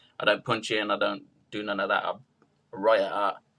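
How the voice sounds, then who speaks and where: Speaking in a British accent, a man talks at a fairly quick pace in a bright, sharp tone. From UK. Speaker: rapper. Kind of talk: interview.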